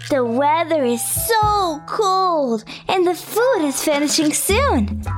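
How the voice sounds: Over faint background music, a put-on character voice moves slowly with big pitch swings. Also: woman, extremely high pitch for a woman.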